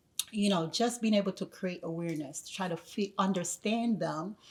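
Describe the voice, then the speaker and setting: A woman speaks at a moderate pace in a medium pitch, her voice somewhat breathy, with a slight Jamaican accent. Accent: Jamaican accent regained, slight. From Jamaica, then the Bronx from teens. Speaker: educator. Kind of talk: podcast interview. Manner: hesitant, many fillers.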